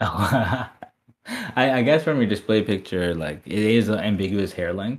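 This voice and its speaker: Lively in intonation, a man speaks with an ordinary speaking voice at a fairly low pitch. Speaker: podcast host. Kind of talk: casual chat.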